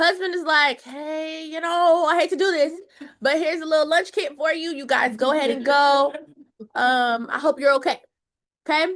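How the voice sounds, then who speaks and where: A woman speaks in an animated tone at a high pitch. Her pace is moderate. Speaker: Bible study teacher. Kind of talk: Bible study teaching.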